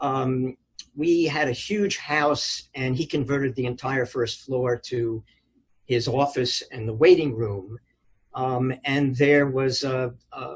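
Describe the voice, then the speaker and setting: The voice is somewhat breathy, with an American accent. It moves at a very slow pace with fairly even intonation. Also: man. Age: 70s. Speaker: retired physician. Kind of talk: oral history interview. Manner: hesitant, many fillers.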